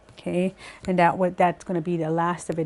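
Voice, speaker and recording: A woman's voice at a medium pitch with a dark, mellow tone. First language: Cree. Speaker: Cree language teacher. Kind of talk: language lesson. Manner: hesitant, many fillers.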